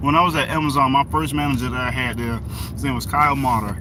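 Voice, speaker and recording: Very fast speech with ordinary pitch variation, amid audible room echo and noticeable background noise. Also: man. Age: 30s. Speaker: livestreamer. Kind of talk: casual chat.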